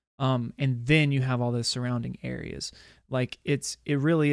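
A man with an ordinary speaking voice, medium pitch, fairly even intonation, and a moderate pace. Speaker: podcast co-host. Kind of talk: casual chat.

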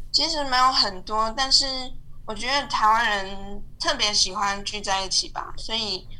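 Over noticeable background noise and audible room echo, a woman speaks fairly slowly at a fairly high pitch with ordinary pitch variation. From Taiwan. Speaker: UX designer. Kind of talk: casual interview.

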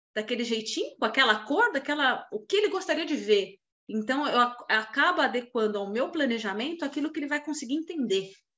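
Speaking at a fairly quick pace, a woman uses lively intonation in a high pitch. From Brazil, São Paulo. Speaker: financial planner. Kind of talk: casual chat.

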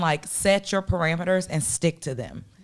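Very cleanly recorded against a silent background, a woman speaks in an animated tone. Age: 30s. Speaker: podcast co-host. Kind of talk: casual chat. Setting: studio.

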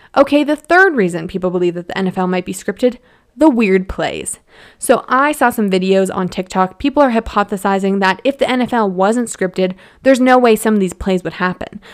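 A woman with a Canadian accent at a medium pitch, animated in tone, at a fairly quick pace with ordinary pitch variation, in a very clean recording with a silent background. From Alberta, Canada (Edmonton). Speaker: podcast host, lawyer. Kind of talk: casual chat.

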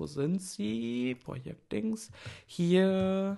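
The speaker is a man with a dark, mellow tone. His pitch swings very widely. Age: 30s. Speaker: art stream host. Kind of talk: casual livestream talk with screen sharing. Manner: hesitant with many fillers.

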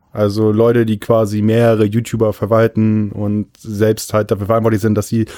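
Over a silent background on a very clean recording, a man talks at a moderate pace in a fairly low pitch with a dark, mellow tone, monotone, flat intonation and very even loudness. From Friesland, northern Germany. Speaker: podcast co-host. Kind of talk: casual chat.

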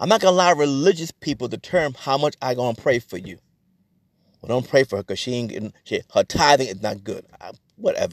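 A man speaks at a fairly quick pace with a fairly high pitch. His pitch swings very widely, and the sound is dry and close with no echo. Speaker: pastor. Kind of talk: sermon. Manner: talks fast at times; preacher's exhortative delivery.

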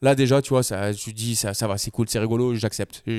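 A man talks at a fairly quick pace in a normal speaking voice, the sound dry and close with no echo. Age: 30s. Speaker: videographer. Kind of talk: casual chat.

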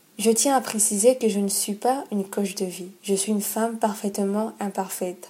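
Against noticeable background noise, a woman speaks at medium pitch and a moderate pace, with fairly even intonation and hardly any pauses. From Gabon. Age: 20s. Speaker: podcast host. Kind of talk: personal monologue introduction.

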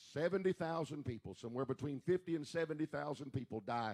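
An unremarkable speaking voice moves at a moderate pace with lively intonation. The recording is very clean with a silent background and a dry, close sound with no echo. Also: man. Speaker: church pastor or service leader. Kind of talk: church service announcements and worship leading. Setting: church.

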